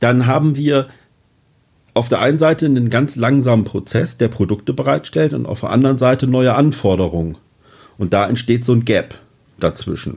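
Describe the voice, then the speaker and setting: A man's voice at medium pitch, with ordinary pitch variation, vocal fry, and long, frequent pauses. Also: moderate pace. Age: 40s. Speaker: fire protection manager. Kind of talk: interview.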